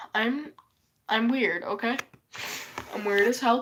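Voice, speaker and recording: A woman speaks in a raised, projected voice. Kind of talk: casual live stream talk.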